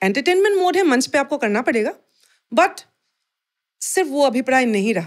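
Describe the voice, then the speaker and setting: With a high pitch and very wide pitch swings, a woman talks with long, frequent pauses. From Assam. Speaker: folk and Bhojpuri singer. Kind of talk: interview answer.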